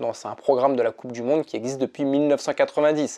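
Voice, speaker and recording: The man's voice sits fairly high in pitch with a dark, mellow tone. The background is quiet. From France. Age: 40s. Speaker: ultra-triathlete and mental coach. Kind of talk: casual vlog monologue. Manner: hesitant with frequent fillers and repetitions.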